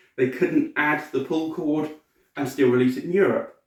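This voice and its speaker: The speaker has a British accent and a moderate pace. Pitch variation is ordinary. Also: man. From Britain. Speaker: cosplayer and collectibles reviewer. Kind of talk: product review. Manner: casual, hesitant with fillers.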